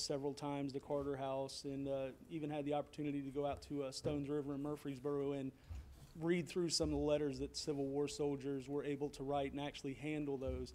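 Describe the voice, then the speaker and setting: A man with a Tennessee accent speaks very fast in a fairly high pitch. His tone is dark and mellow, his intonation monotone and flat. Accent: US Southern (Tennessee). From Franklin, Tennessee. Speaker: citizen speaker at public comment, military veteran. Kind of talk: public comment speech. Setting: city council meeting, speaking from podium.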